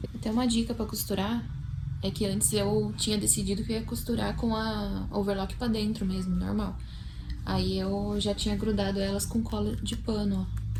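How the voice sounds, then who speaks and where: Soft-spoken, a woman talks at a moderate pace with very even loudness. Audible room echo and noticeable background noise surround her voice. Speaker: vlogger, seamstress and tattoo artist. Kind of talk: casual vlog narration. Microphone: no microphone, may be hard to hear.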